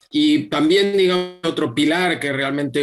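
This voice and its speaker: A man at a moderate pace. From Spain, Madrid. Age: 60s. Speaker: yoga teacher and public official. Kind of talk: interview. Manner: halting, many repetitions and fillers.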